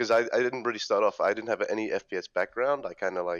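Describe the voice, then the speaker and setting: Speaking at a very fast pace, a man has a British accent. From London, UK. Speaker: esports player. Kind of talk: casual interview. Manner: hesitant, many fillers.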